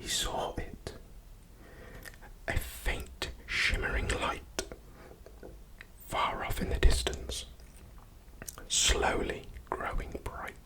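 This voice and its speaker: A man whispers at a very slow pace, with long, frequent pauses. Background noise is noticeable. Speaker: ASMR artist. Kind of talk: sleep story. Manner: soft-spoken, slow.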